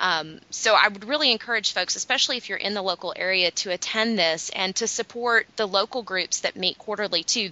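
This is a woman with an ordinary speaking voice at a medium pitch. She talks at a fairly quick pace with ordinary pitch variation. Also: hardly any pauses. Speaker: business development manager, guest host. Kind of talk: casual chat.

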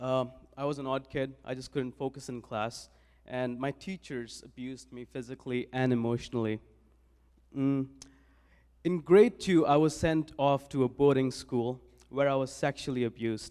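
A man with an Indian accent speaks at a medium pitch and a moderate pace with fairly even intonation and a dark, mellow tone, on a very clean recording with a silent background. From India (New Delhi). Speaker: church volunteer. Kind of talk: testimony. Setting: church.

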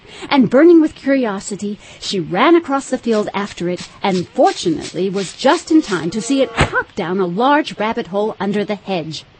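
Over music in the background, a woman with an animated tone speaks at a moderate pace, her fairly high pitch making very wide swings. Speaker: audiobook narrator. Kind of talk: dramatic audiobook narration, storybook reading. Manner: expressive, storytelling pace, animated.

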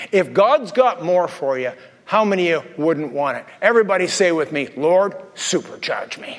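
Lively in intonation and high in pitch, a man speaks at a moderate pace amid noticeable background noise. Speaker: pastor. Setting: church with live congregation. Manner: animated, humorous, conversational preacher; fervent, commanding, urgent, intense and impassioned in prayer.

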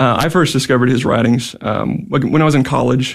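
In an ordinary speaking voice of medium pitch, a man speaks at a fairly quick pace with fairly even intonation. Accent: American. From Houston area, Texas. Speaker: teacher, school board vice president. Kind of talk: radio interview. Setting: studio.

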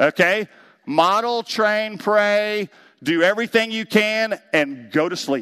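A man with a high pitch speaks very slowly in a raised, projected voice, with ordinary pitch variation. The sound is dry and close with no echo, over a quiet background. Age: 50s. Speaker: pastor. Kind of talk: talk at a men's class.

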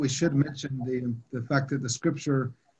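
A man with an American accent talks at a fairly quick pace in a medium pitch, his intonation monotone and flat and his voice somewhat breathy. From US South, Atlanta. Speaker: theology professor. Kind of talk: panel discussion.

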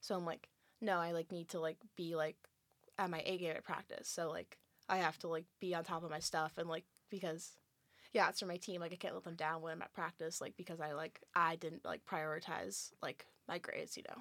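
A plain, everyday voice, this woman speaks with an American accent at a fairly low pitch, a fairly quick pace and fairly even intonation. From California. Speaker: college athlete. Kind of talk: casual chat.

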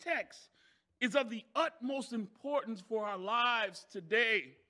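A man's raised, projected voice carries a bright, sharp tone. His pitch varies in an ordinary way. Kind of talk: sermon, preacher in full flow with call-and-response. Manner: builds momentum by asking the crowd for amens.

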